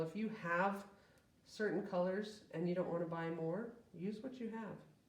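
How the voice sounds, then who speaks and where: A woman with a medium pitch talks amid audible room echo and noticeable background noise. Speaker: art teacher. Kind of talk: tutorial. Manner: casual, friendly.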